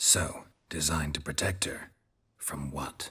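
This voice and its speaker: A man uses a put-on character voice. It comes out raspy and very deep, low in pitch. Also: fairly slow pace. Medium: video game. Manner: terse, dry.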